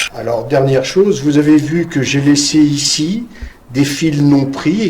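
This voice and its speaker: Amid noticeable background noise and audible room echo, a man with a fairly high pitch speaks in a calm tone at a fairly slow pace with ordinary pitch variation. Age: 70s. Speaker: master weaver. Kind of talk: demonstration tutorial. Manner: calm, explanatory with hesitations.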